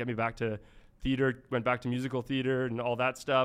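This man's pitch sits in the medium range. His delivery is very fast. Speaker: education startup executive. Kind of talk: casual interview. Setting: studio.

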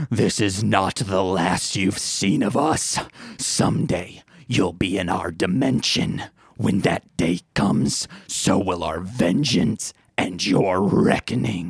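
A man uses a put-on character voice with a very deep, low pitch. He growls at a fairly slow pace. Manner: menacing.

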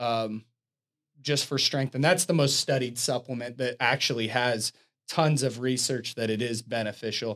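A man of medium pitch talks at a moderate pace with ordinary pitch variation in an ordinary speaking voice, recorded very cleanly against a silent background. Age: 40s. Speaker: fitness podcast co-host, gym owner. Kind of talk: casual chat. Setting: studio.

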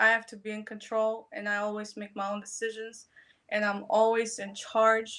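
At a moderate pace, a woman with a fairly high pitch and a bright, sharp tone speaks in a monotone, flat way. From Poland. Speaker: adult content creator. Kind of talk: casual chat.

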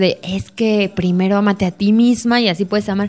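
A woman talks with a normal speaking voice at medium pitch. Her pitch varies in an ordinary way. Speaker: podcast co-host. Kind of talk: casual chat.

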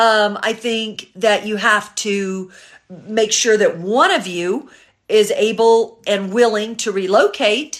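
A woman's fairly high-pitched, ordinary speaking voice with fairly even intonation. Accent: American. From US South, Memphis, Tennessee. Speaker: matchmaker and dating coach. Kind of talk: live stream Q&A. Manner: casual, chatty.

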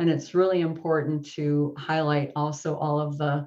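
A woman with a slight Midwestern accent talks at a fairly slow pace in a very deep, low pitch with monotone, flat intonation. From US Midwest, Wisconsin. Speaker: software developer and online course author. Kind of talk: casual interview chat.

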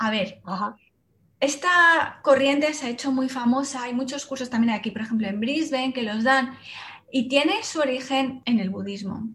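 Speaking in a Castilian accent, a woman uses a high pitch with ordinary pitch variation. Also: moderate pace. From Spain, Salamanca. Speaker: meditation teacher. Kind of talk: interview.

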